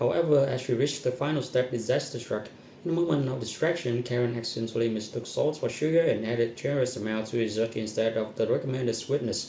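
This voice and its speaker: Talking at a very fast pace with hardly any pauses, a man uses ordinary pitch variation while audible room echo surrounds him. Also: medium pitch for a man. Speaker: content creator. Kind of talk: reading aloud.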